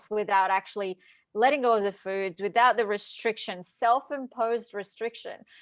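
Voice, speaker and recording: A woman with an American accent and a fairly high pitch, on a very clean recording with a silent background. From Brazil. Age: 30s. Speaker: dietitian and hypnotherapist. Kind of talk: interview.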